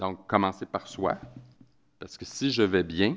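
In a Quebec accent, a man speaks at a fairly slow pace with a very deep, low pitch. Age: 50s. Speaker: author and anti-bullying advocate. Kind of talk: conference talk.

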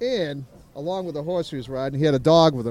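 A man speaks at a fairly quick pace with a fairly high pitch and ordinary pitch variation. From New Hampshire, US. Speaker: interview guest telling a travel story. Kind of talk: casual storytelling. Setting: on location in Merritt Island, Florida. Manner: animated.

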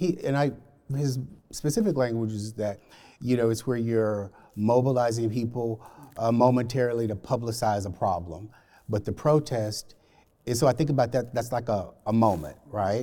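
This voice has a dark, mellow tone with an American accent. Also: man, medium pitch for a man, ordinary pitch variation, moderate pace, very clean recording, silent background. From Alabama, US South. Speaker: corporate diversity program lead. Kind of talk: panel discussion. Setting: library reading room.

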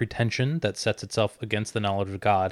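A man talks at a very fast pace. The recording is very clean with a silent background, dry and close with no echo. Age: 20s. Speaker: church podcast co-host. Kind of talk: casual chat.

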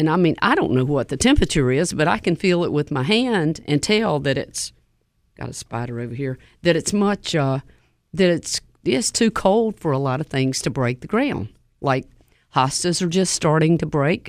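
A woman speaks in a Southern US accent with a very deep, low pitch. Her pace is moderate and her intonation lively. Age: 70s. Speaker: nursery owner. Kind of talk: radio call-in show. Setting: studio.

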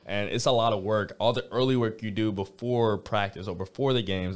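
A man with an American accent, fairly quick, with ordinary pitch variation, in a very clean recording over a silent background. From Georgia, US South. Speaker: college baseball player. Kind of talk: interview. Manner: halting, many fillers.

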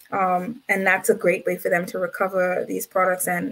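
A woman's bright, sharp tone at a medium pitch and moderate pace, with vocal fry. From Bahamas, Nassau. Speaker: environmental activist. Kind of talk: interview.

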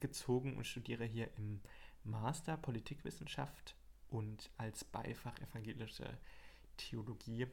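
A man talks at a fairly slow pace with a medium pitch. His voice is somewhat breathy. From Hesse, Germany (Marburg). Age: 20s. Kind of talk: casual chat. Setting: small home desk studio.

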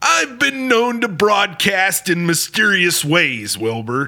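A man speaks at a fairly slow pace in a raised, projected voice. His tone is theatrical and playful, with very wide pitch swings. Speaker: radio host. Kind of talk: scripted horror-comedy radio show, ghost story host. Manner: theatrical, spooky-playful showman patter, announcer-like and over-the-top.

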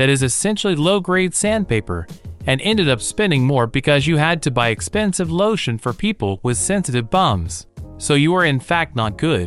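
Against faint music in the background, a man puts on a character voice at a fairly high pitch, pitch swinging very widely at a moderate pace. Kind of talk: robotic comedy. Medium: audio drama.

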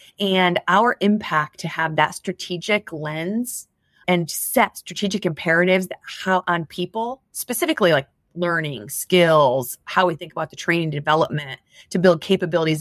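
In a normal speaking voice with an American accent, a woman talks at a moderate pace and a fairly low pitch with ordinary pitch variation, the sound dry and close with no echo. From US Midwest (southwest Michigan). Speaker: HR executive. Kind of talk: interview.

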